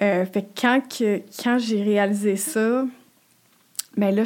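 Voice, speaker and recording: The woman's voice sits fairly high in pitch. Her intonation stays fairly even. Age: 30s. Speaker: podcast guest sharing infertility story. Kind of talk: personal testimony. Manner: halting, many repetitions and fillers.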